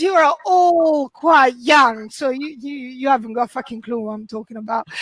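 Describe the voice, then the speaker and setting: Speaking with an Italian accent, a woman's voice makes very wide pitch swings. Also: dry, close sound with no echo. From Italy. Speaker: comedian. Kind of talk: stand-up. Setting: video call.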